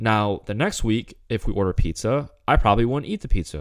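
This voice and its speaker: An unremarkable speaking voice from a man, fairly low in pitch, at a fairly quick pace. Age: 20s. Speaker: fitness coach podcast host. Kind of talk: solo podcast monologue. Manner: casual, filler-heavy.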